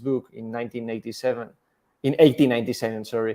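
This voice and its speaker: A man at medium pitch with a Spanish accent. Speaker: scientist. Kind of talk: interview. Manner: halting.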